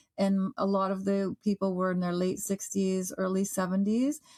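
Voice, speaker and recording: A woman with an ordinary speaking voice at medium pitch, in a Canadian accent, at a moderate pace. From Canada, Toronto. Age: 50s. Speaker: author and travel radio host. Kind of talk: casual interview chat. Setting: podcast.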